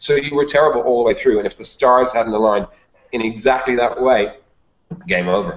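Over background music, a man with a Dublin accent talks fairly quickly at a medium pitch with ordinary pitch variation. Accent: Irish (Dublin). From Ireland, Dublin. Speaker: sales consultant and author. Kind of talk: interview. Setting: video call.

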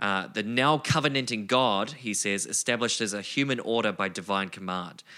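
With a New Zealand accent, a man speaks at a moderate pace in a fairly low pitch and a bright, sharp tone. The recording is very clean, with a silent background. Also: ordinary pitch variation, hardly any pauses. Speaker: podcast co-host. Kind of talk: casual conversation.

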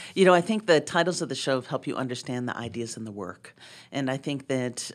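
With a very deep, low pitch, a woman talks at a fairly quick pace with ordinary pitch variation on a very clean recording with a silent background. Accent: American. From Boston. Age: 50s. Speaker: ceramic artist and art professor. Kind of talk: interview conversation.

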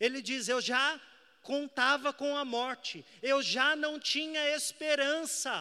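In a very clean recording with a silent background, a man with an extremely high pitch speaks very slowly in a raised, projected voice, his tone bright and sharp and his intonation fairly even. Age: 20s. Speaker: evangelist preacher. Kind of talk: sermon.

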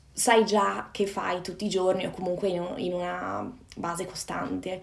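With fairly even intonation, a woman speaks at a moderate pace amid audible room echo. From northern Italy, Padova (Veneto). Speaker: personal development coach. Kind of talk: casual interview chat. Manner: halting.

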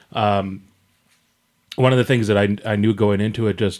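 A man speaks in an ordinary speaking voice, fairly low in pitch, with fairly even intonation. The recording is very clean, with a silent background. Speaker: podcast co-host. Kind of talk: casual chat.

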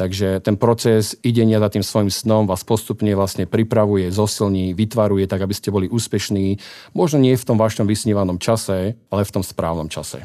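A man with a fairly low, dark and mellow voice speaks at a fairly quick pace with fairly even intonation, in a very clean recording with a silent background. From Slovakia, Martin. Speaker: business executive. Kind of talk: radio interview. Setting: studio.

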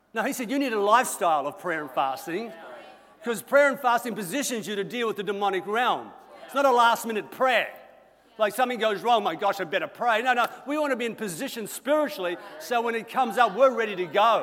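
A man with an Australian accent talks very fast. His pitch is high and his intonation lively. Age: 60s. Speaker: senior pastor. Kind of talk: sermon.

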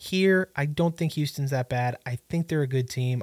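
The recording is very clean, with a silent background and a dry, close sound with no echo. A man with a somewhat breathy, fairly high voice speaks at a moderate pace. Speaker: sports podcast host. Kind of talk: solo sports talk and picks. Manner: animated.

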